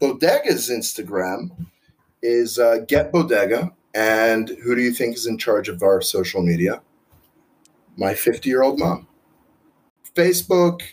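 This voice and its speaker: A man at medium pitch in an American accent, at a fairly slow pace with long, frequent pauses and lively intonation. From Israel. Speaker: restaurant owner.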